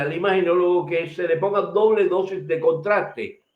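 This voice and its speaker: A man is talking. His pitch is high. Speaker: medical lecturer. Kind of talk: lecture. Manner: fast.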